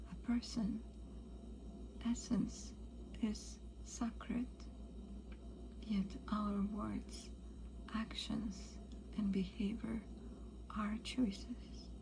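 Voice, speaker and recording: This woman is soft-spoken. Noticeable background noise runs behind her. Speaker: ASMR practitioner and Vedic astrologer. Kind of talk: ASMR astrology session. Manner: soft-spoken, calming.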